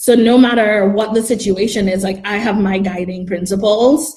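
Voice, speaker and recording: A woman at a medium pitch speaks in a dark, mellow, somewhat breathy tone, with fairly even intonation and big swings in loudness. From Trinidad and Tobago. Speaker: marketing campaign expert. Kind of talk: casual interview. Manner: hesitant, many fillers.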